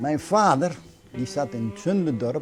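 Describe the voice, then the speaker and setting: Music in the background behind a fairly high-pitched male voice. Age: 70s. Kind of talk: casual interview talk.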